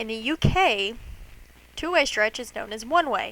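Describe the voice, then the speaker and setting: With an American accent and an unremarkable speaking voice, a woman talks at a moderate pace with ordinary pitch variation. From United States. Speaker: cosplay maker. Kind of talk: tutorial. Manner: casual.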